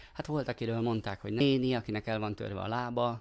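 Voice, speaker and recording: An unremarkable speaking voice moves at a fairly quick pace with fairly even intonation, on a very clean recording with a silent background. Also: man. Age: 40s. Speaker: actor and volunteer helper. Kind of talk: casual interview.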